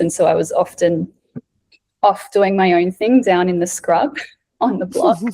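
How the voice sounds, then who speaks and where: In an Australian accent, a woman talks with a fairly low pitch, a dark, mellow tone and ordinary pitch variation. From South Australia. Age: 30s. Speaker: breathwork facilitator. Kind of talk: casual chat.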